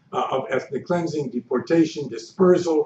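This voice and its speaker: Audible room echo and light background noise surround a man's voice. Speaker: history professor. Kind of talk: lecture. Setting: stage with audience. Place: hall. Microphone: podium.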